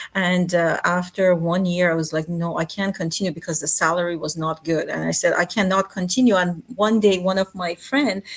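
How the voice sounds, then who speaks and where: Speaking with an Iranian accent, the voice keeps fairly even intonation and hardly any pauses. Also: woman, fairly low pitch for a woman, moderate pace. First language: Farsi. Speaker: MRI technologist. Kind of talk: interview. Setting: video call. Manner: halting.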